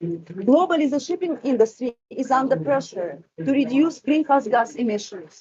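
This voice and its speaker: This woman talks at a high pitch, her voice swinging very widely up and down. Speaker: event moderator. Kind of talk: conference presentation. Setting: side event venue with outside noise. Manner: halting.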